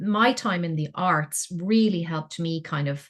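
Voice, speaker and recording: Speaking at a fairly slow pace, a woman has an Irish accent and a fairly low pitch. Her voice is somewhat breathy, with ordinary pitch variation. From Ireland. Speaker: engineer, scientist and science communicator. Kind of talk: interview answer.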